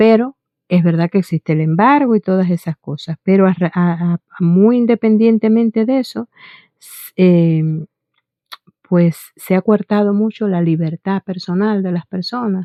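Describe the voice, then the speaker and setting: A woman at medium pitch for a woman, fairly slow pace, ordinary pitch variation and big swings in loudness. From Cuba. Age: 60s. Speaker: vlogger. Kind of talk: personal testimony to camera. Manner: halting, many fillers and restarts.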